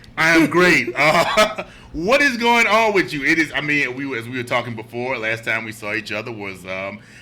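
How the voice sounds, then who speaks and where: A man's medium-pitched voice at a moderate pace, with very wide pitch swings, big swings in loudness, hardly any pauses and noticeable background noise. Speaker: podcast host. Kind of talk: casual chat. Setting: studio.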